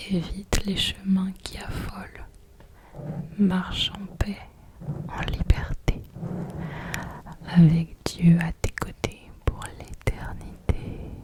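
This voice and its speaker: A woman whispers at a very slow pace in a gentle, calm tone, with long, frequent pauses. Her loudness swings a lot, and there is noticeable background noise. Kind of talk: soft-spoken ASMR poetry reading with religious devotional content. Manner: soft-spoken, gentle, calm.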